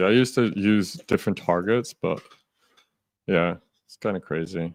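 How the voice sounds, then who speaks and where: Fairly low male voice at a moderate pace with ordinary pitch variation, in a very clean recording with a silent background. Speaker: futures day trader streamer. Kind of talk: live trading stream chat. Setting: live stream. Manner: loud.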